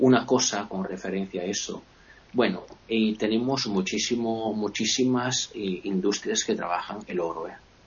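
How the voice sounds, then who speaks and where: Against noticeable background noise, a man talks at a fairly low pitch and a fairly slow pace with fairly even intonation. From Italy, Veneto (Vicenza province). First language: Italian (speaking Spanish). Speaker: guest speaking about his home region. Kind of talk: casual chat.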